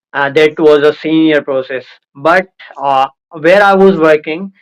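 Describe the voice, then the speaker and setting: With a fairly high pitch and fairly even intonation, a man speaks at a fairly slow pace. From India, Indore. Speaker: former call center worker. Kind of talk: casual chat.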